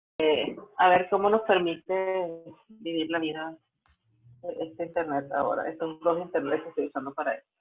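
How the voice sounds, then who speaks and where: With music in the background, a woman at fairly low pitch speaks at a moderate pace, her intonation fairly even and her loudness swinging widely. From Venezuela. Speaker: digital rights lawyer and policy analyst. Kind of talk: online lecture. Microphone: unreliable internet connection.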